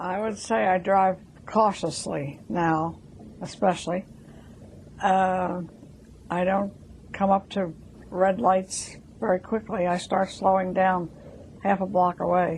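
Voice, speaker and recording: Very slowly and with long, frequent pauses, a woman speaks in a somewhat breathy, medium-pitched voice. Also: fairly even intonation. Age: 80s+. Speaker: interviewee, elderly driver. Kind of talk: testimony.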